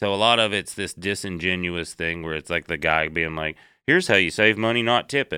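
Bright, sharp tone in a Southern US accent, dry and close with no echo, on a very clean recording with a silent background. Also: man, very deep, low pitch for a man, ordinary pitch variation, fairly quick pace. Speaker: comedian. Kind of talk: casual chat.

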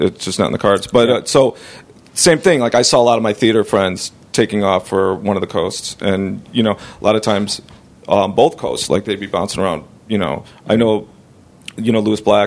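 Speaking fairly quickly, a man has a plain, everyday voice with a fairly low pitch and ordinary pitch variation. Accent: American. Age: 40s. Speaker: podcast host and comedian. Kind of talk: casual interview.

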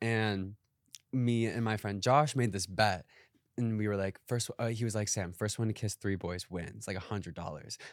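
Heard on a very clean recording with a silent background, a normal speaking voice with an American accent moves at a moderate pace with ordinary pitch variation. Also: man, fairly low pitch for a man. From Wisconsin, small farm town. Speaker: actor and social media creator. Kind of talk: casual chat.

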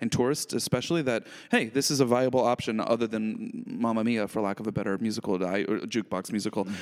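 In a very clean recording with a silent background, a man with an unremarkable speaking voice talks at a fairly quick pace, at medium pitch with ordinary pitch variation. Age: 30s. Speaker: podcast co-host. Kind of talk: casual chat.

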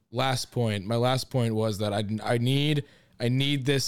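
A man speaks at a moderate pace in a medium pitch with fairly even intonation. It is an unremarkable speaking voice. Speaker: baseball podcast host. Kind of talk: casual recap and eulogy, with some venting. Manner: conversational, somewhat sardonic, stays calmer than S4.

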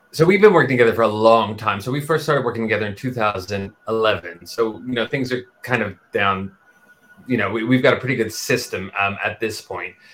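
Noticeable background noise surrounds this voice. A man speaks at medium pitch with ordinary pitch variation. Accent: American. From Texas. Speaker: musical theatre writer and performer. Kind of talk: interview. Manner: hesitant, many fillers.

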